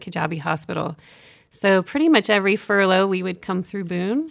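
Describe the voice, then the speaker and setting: With an American accent, a woman speaks fairly quickly in an unremarkable speaking voice at medium pitch with ordinary pitch variation. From Kenya, American missionary family. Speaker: nurse and medical project manager. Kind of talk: interview. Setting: studio.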